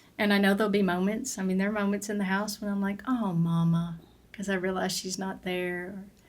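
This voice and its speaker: A woman speaks fairly quickly at a medium pitch in a flat monotone. Room echo is audible. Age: 60s. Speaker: former family caregiver. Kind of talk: podcast interview.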